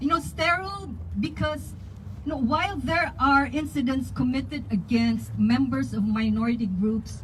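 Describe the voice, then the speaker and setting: A woman speaks at a moderate pace with a Filipino accent. Audible room echo and noticeable background noise surround her voice. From Philippines. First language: Tagalog. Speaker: community activist. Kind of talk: public speech at a rally.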